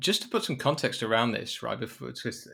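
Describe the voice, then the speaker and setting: With a British accent and lively intonation, a man talks in a very clean recording against a silent background. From Britain. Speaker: sports podcast host. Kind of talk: casual chat.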